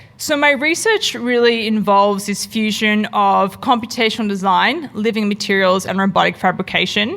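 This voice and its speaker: A woman with an Australian accent speaks at a moderate pace with hardly any pauses, her pitch medium. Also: ordinary pitch variation. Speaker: product designer and researcher. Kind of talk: conference talk.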